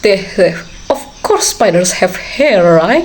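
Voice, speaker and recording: A woman at a fairly slow pace, with very wide pitch swings, over noticeable background noise. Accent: non-native. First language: not English. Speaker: anime reaction streamer. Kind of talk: casual reaction commentary. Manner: halting.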